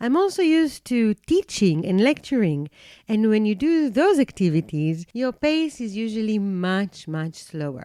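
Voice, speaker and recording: Over a silent background in a very clean recording, a woman with a non-native accent speaks at a fairly slow pace and fairly high pitch, with very wide pitch swings and a dry, close sound with no echo. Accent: non-native English speaker. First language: not English. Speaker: podcast host and coaching institute founder. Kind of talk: podcast monologue.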